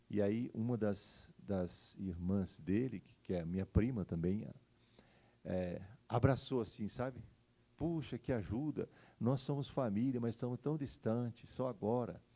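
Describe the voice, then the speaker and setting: A man's medium-pitched voice, fairly slow, with ordinary pitch variation. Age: 60s. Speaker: pastor. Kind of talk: sermon. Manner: halting.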